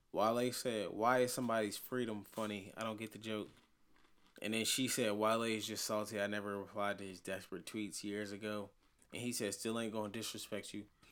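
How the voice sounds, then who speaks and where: In a very clean recording with a silent background, a man talks at a fairly quick pace with a medium pitch. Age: 20s. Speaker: podcast co-host. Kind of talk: casual chat.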